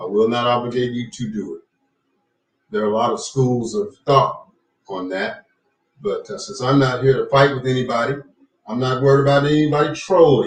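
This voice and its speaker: A man with a medium pitch and a somewhat breathy voice talks at a moderate pace, with lively intonation, big swings in loudness and long, frequent pauses. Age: 60s. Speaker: talk show host, retired radio presenter. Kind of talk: live-stream talk show monologue. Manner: measured with frequent fillers.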